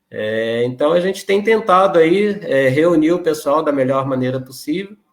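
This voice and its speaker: A man in a Rio de Janeiro accent talks at a moderate pace with a fairly high pitch and lively intonation. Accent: carioca. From Rio de Janeiro, Brazil. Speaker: regional spiritist association president. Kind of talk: interview conversation.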